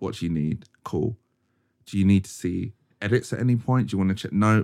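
Here a man speaks at a moderate pace in a fairly low voice. The sound is dry and close, with no echo. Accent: London. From South London, Croydon. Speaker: photographer and advertising creative. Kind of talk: casual chat. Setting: studio. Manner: animated.

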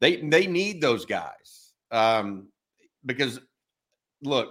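With an American accent, a man talks in a normal speaking voice at a medium pitch and a moderate pace. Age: 50s. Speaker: sports podcast host. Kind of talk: casual chat.

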